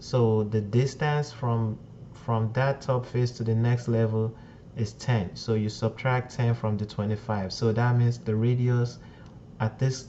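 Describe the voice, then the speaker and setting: A man speaks in a somewhat breathy voice of medium pitch. His intonation is monotone and flat. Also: fairly slow pace. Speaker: CAD software tutorial maker. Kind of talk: tutorial. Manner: slow, deliberate explanation.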